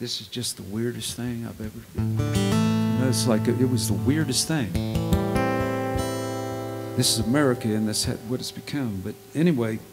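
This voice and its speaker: Over loud music in the background, a man talks at a moderate pace with long, frequent pauses. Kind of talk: storytelling between songs. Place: stage. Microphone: studio mic.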